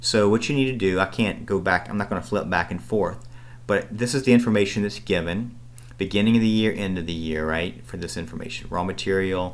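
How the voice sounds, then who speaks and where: A man speaks at a fairly quick pace in a very deep, low voice with vocal fry, and the room echo is audible. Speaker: accounting instructor. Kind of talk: recorded lecture tutorial. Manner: fast.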